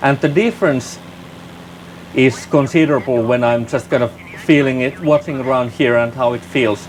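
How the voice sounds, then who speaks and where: A man with a non-native accent talks at a medium pitch and moderate pace. His pitch variation is ordinary, and he takes long, frequent pauses. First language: not English. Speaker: flight sim gaming youtuber. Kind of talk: gameplay commentary. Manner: halting, repeats words.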